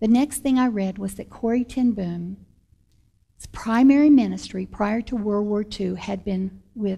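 The voice is somewhat breathy, with ordinary pitch variation. The background is quiet. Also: woman. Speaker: actress sharing testimony. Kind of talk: personal testimony storytelling. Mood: warm, animated, some laughter. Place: studio.

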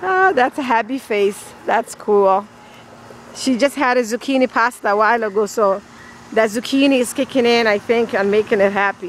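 At a moderate pace, a woman speaks with ordinary pitch variation over light background noise, the sound dry with no echo. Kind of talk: casual vlog chat. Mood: amused, relaxed. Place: garden. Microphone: phone near.

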